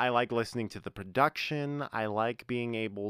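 A man talks at a moderate pace with an American accent and ordinary pitch variation. The recording is very clean, with a silent background. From North Carolina. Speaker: podcast co-host. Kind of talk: casual chat.

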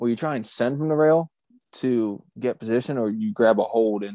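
An ordinary speaking voice with an American accent comes at a moderate pace with ordinary pitch variation, in a dry, close sound with no echo and a quiet background. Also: man. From Maryland, US. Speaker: horse racing handicapper. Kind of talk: casual chat.

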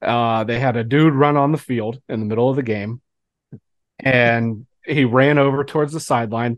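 A man's normal speaking voice at medium pitch and a moderate pace, with fairly even intonation and a quiet background. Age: 30s. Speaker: co-host. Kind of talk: casual chat.

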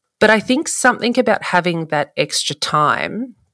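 A woman speaks with an Australian accent and lively intonation at a moderate pace. The sound is dry and close, with no echo. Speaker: photographer. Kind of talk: casual chat.

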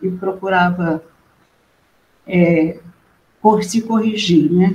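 Somewhat breathy and fairly even in intonation, a woman speaks very slowly at medium pitch. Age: 70s. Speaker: nun. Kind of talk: testimony.

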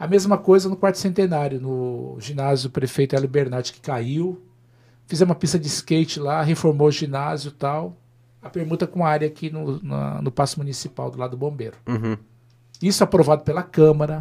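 This man's fairly high voice has a dark, mellow tone and a somewhat breathy quality, moving at a fairly quick pace with ordinary pitch variation and big swings in loudness. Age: 50s. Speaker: former mayor and politician. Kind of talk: interview on a live web show.

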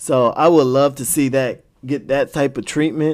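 At a fairly slow pace, a man uses a plain, everyday voice at medium pitch with ordinary pitch variation. The recording is very clean and the background silent. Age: 20s. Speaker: anime podcast host. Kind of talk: casual solo podcast monologue. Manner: casual, rambling with frequent restarts.

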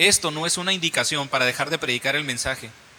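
Through noticeable background noise, a man with a fairly high pitch speaks at a fairly quick pace with ordinary pitch variation. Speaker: preacher. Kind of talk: sermon, Bible reading then teaching; sermon, illustrative story about a boy learning karate. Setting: church. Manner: animated, repetitive, teaching with everyday illustrations.

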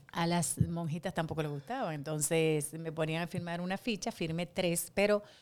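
On a very clean recording with a silent background, a woman with a fairly low pitch speaks at a fairly slow pace. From Dominican Republic, Santo Domingo. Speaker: actress and impersonator. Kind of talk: casual interview.

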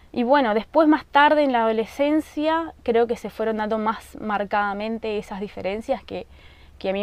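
On a very clean recording with a silent background, a woman speaks at a moderate pace. Hers is a normal speaking voice, fairly high in pitch, with ordinary pitch variation. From Argentina, rural Misiones. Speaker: podcast host. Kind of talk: casual monologue. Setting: at home in the countryside.

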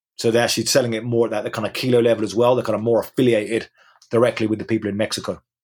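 Monotone and flat, a man with an English accent speaks at a very fast pace in a medium pitch. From England. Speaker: journalist and author. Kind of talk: interview. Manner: halting, many repetitions.

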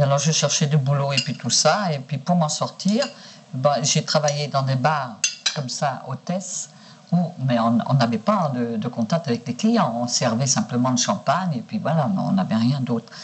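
A woman's very deep, low voice comes out at a fairly slow pace. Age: 60s. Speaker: sex worker. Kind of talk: archival interview recording.

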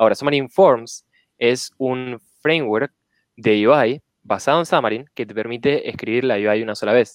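A man at a medium pitch with an Argentine accent, moderate pace and ordinary pitch variation, in a dry, close sound with no echo. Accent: Rioplatense Argentine Spanish. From Argentina, Rosario. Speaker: software engineer. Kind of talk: casual chat.

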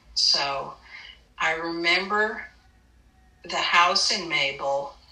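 A woman speaks at a fairly low pitch with an American accent and ordinary pitch variation. Background noise is noticeable. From New York (Brooklyn, Westchester). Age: 60s. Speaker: visual artist. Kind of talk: oral history interview. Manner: hesitant, many fillers.

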